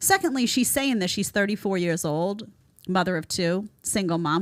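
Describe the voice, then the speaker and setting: A woman's animated voice with lively intonation in a strong New York accent, in a very clean recording with a silent background. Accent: thick New York. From New York City. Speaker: online show host, commentator. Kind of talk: reaction commentary livestream.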